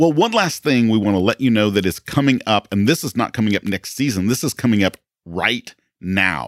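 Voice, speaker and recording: A man with a plain, everyday voice speaks at a moderate pace and fairly low pitch, his intonation lively. The sound is dry and close with no echo, a very clean recording over a silent background. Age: 50s. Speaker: podcast host and pastor. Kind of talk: casual chat; interview. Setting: studio.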